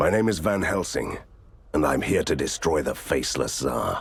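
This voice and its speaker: Using a put-on character voice, a man speaks at a moderate pace with very deep, low pitch. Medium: video game. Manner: deadpan, sarcastic.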